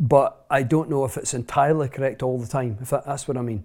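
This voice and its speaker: A man speaks at a fairly quick pace with a Scottish accent. His intonation stays fairly even, and the recording is very clean with a silent background. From central Scotland. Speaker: author and speaker. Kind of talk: interview conversation.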